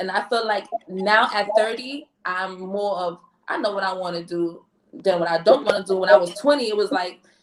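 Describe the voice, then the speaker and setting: A woman talks in a plain, everyday voice at a medium pitch and a moderate pace. Her pitch varies in an ordinary way. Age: 30s. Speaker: podcast co-host. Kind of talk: casual chat.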